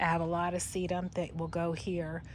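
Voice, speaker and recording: Audible room echo surrounds a woman whose fairly low voice carries vocal fry. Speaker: gardening vlogger. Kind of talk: casual vlog narration. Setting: outdoors.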